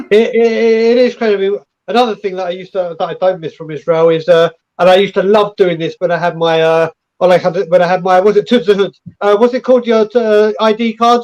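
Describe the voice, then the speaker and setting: A very fast pace with ordinary pitch variation, in an English accent. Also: man, high pitch for a man. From England. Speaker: football fan channel creator. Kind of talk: casual chat.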